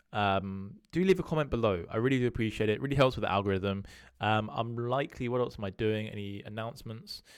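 Lively intonation and a very fast pace mark this voice with a British accent, captured in a very clean recording with a silent background. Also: man, medium pitch for a man. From UK. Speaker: crypto analyst YouTuber. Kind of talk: solo video monologue on market analysis. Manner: casual, conversational with filler words.

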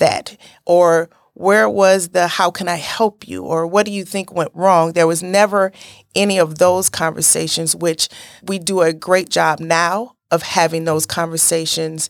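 Fairly low in pitch with fairly even intonation, a woman with a plain, everyday voice speaks at a fairly slow pace, the sound dry and close with no echo. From Gary, Indiana (US Midwest). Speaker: nursing professor and assistant dean. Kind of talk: interview.

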